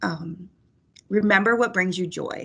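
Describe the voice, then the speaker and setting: This woman has an unremarkable speaking voice at a medium pitch, with ordinary pitch variation. The background is quiet. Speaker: crisis counselor. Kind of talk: presentation.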